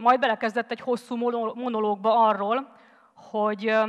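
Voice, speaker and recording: A woman speaks with a fairly high pitch. The background is quiet. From Hungary. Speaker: former volunteer, teacher; conference speaker. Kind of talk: TED-style talk. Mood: earnest storytelling. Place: stage. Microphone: headset.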